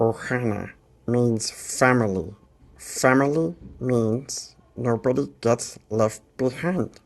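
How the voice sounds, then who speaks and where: A cartoonish character voice, low in pitch, at a very slow pace. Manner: goofy.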